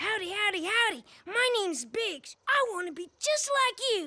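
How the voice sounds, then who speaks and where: A cartoonish character voice is pitched extremely high. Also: moderate pace. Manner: folksy, friendly.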